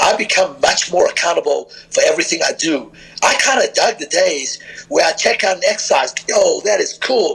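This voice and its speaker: With music in the background, the man keeps a moderate pace. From southern Africa (South Africa, Zimbabwe), also London. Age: 50s. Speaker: strength and conditioning coach. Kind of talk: podcast interview.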